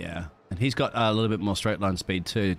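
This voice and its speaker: Ordinary pitch variation in an unremarkable speaking voice, moving at a fairly quick pace. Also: man. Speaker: esports race commentator. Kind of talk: live race commentary, co-commentator analysis. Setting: recorded commentary over race footage. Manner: excitable, rapid-fire, punchy.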